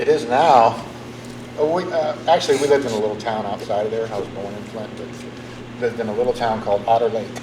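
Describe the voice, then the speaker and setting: A man talks at a very fast pace with medium pitch and ordinary pitch variation. His loudness swings widely over noticeable background noise. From southern Illinois (Benton area), moved from Michigan at seven. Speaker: local artist and bass player, Navy veteran. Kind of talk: casual chat. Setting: studio.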